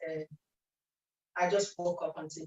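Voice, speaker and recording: A woman's medium-pitched voice, somewhat breathy, keeps a fairly even intonation. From Nigeria, Benin City. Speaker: speech and language therapist, event speaker. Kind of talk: presentation talk.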